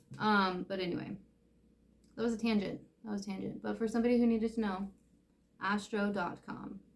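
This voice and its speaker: Through noticeable background noise, a woman talks at a fairly quick pace with fairly even intonation. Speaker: tarot reader. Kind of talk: tarot reading monologue. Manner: casual, hesitant with many fillers.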